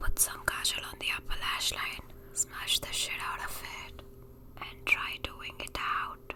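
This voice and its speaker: A whispering voice with big swings in loudness sits over noticeable background noise. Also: woman, fairly slow pace. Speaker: beauty vlogger. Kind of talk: ASMR makeup tutorial. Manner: soft-spoken.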